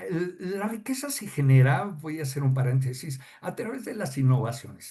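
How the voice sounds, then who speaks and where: A man speaks at a moderate pace with a medium pitch. His voice is somewhat breathy. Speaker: customs advisor. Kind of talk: podcast interview explaining technical topic. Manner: halting, many fillers.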